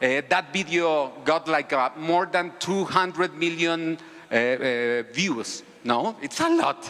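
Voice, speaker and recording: With a Spanish accent, the speech moves at a very slow pace with ordinary pitch variation and very even loudness over noticeable background noise. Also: man, high pitch for a man. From Mexico. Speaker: civic activist, video creator. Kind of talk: conference talk. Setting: stage with audience. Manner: halting, many repetitions.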